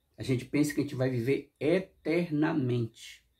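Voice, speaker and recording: A man's dark, mellow, somewhat breathy voice with ordinary pitch variation over a quiet background. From Brazil. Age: 60s. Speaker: YouTuber; vlogger. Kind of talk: casual monologue reflection; casual reflective vlog chat. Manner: halting. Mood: warm, reflective. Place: home room.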